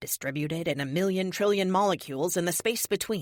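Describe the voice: Here is plain reading aloud. Its pitch rises and falls in an ordinary way.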